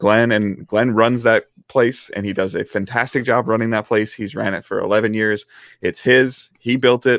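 This man has a medium pitch and a Midwestern American accent. He talks at a moderate pace with fairly even intonation. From US Midwest, Detroit area. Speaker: gaming content creator. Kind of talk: casual chat. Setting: live stream.

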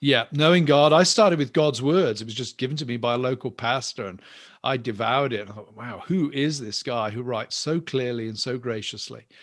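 A man talks at a fairly quick pace in an English accent, with ordinary pitch variation and big swings in loudness. The recording is very clean, with a silent background. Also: medium pitch for a man. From England. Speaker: professor and minister. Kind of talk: interview.

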